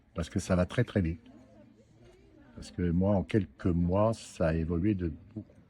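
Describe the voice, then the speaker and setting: A man speaks at a moderate pace in a very deep, low voice with a dark, mellow tone, somewhat breathy and fairly even in intonation, leaving long, frequent pauses. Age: 70s. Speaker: prostate cancer survivor. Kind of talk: interview testimony. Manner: hesitant, many fillers.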